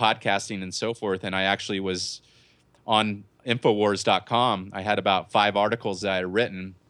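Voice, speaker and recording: A man's bright, sharp tone at a fairly low pitch, at a moderate pace with monotone, flat intonation. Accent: American. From Southern California. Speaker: conspiracy podcast host. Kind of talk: casual interview. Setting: video call. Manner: halting, repeats words.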